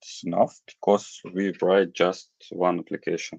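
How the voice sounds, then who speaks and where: A man speaks with a very deep, low pitch in a monotone, flat intonation. His pace is very slow, and the sound is dry and close with no echo. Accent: non-native. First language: not English. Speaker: programming course lecturer. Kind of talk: online lecture Q&A. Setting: live online stream with screen share. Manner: halting, many fillers.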